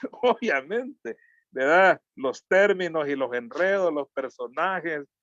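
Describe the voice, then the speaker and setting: A man with a Salvadoran accent speaks at a very slow pace with lively intonation. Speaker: social activist and communicator. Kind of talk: interview. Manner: halting.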